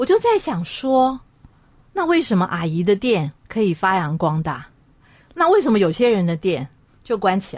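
A woman's medium-pitched voice at a moderate pace, with very wide pitch swings and long, frequent pauses. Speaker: radio host. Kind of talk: radio talk show.

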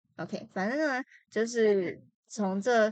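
Very slow in pace, a woman speaks at medium pitch with ordinary pitch variation. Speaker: podcast co-host. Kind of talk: casual chat. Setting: recording on own laptop. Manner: stuttering.

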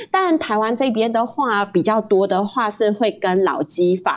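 A woman's normal speaking voice, fairly high in pitch, with lively intonation and a moderate pace. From Malaysia. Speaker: guest, Malaysian living in Taiwan. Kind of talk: casual interview chat.

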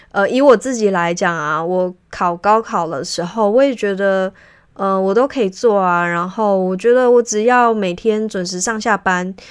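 Against a quiet background, a woman talks at a medium pitch and moderate pace with ordinary pitch variation. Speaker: podcast host and career consultant for civil servants. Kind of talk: solo podcast monologue. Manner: frequent filler hesitations; conversational, reflective.

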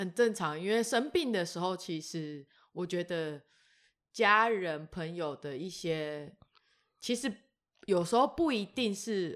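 Recorded very cleanly against silence, a woman speaks at a medium pitch. She goes very slowly, with long, frequent pauses. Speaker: podcast co-host. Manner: loud, energetic, cheerful.

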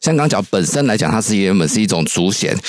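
This man's voice sits fairly low in pitch. He speaks with a Taiwanese accent. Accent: Taiwanese Mandarin. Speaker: political researcher. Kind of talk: radio interview commentary.

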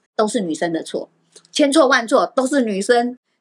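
Her pitch swings very widely. The woman keeps her pace moderate. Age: older than host, voice sounds younger. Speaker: Ziwei astrology teacher, guest. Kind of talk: casual interview chat about face reading.

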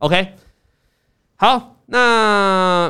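In a very clean recording with a silent background, a man uses a raised, projected voice that is high-pitched, bright and sharp. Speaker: investing podcast host. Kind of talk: casual chat about stock trading. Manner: animated.

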